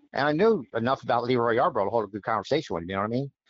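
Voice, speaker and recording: A man talks with very wide pitch swings. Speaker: race team mechanical director. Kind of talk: casual interview, telling a story.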